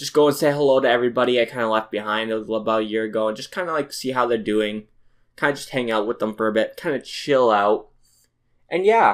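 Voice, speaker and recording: Very clean and set against a silent background, the recording has a man talking at a very fast pace with a medium pitch and ordinary pitch variation. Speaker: youtuber podcaster. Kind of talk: casual solo podcast.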